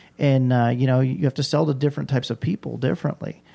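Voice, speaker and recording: The man's voice has a dark, mellow tone. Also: very clean recording, silent background. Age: 40s. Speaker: pool industry sales rep. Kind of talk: casual interview. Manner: animated.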